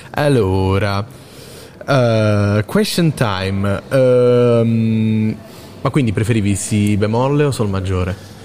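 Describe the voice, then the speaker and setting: A man speaks at a very slow pace with a fairly low pitch, ordinary pitch variation and very even loudness. Noticeable background noise sits behind him. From Basilicata. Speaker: student radio host. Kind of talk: live commentary. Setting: theatre ticket office, live broadcast. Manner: animated.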